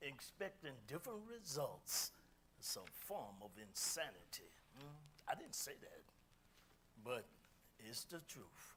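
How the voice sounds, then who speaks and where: A man's fairly high voice with vocal fry, very wide pitch swings, a very slow pace and long, frequent pauses. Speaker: speaker, musician. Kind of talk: talk to audience. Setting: community meeting hall, streamed on Zoom. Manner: loud.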